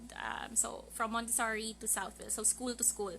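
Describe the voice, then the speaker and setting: A woman's fairly high voice in a Filipino accent. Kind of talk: casual podcast live stream talk.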